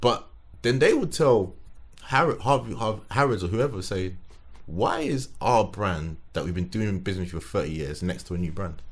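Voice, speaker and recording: In a London accent, a man with a fairly low pitch talks at a moderate pace, somewhat breathy, with very wide pitch swings. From London (Tottenham). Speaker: sneaker designer and collector. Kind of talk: casual chat.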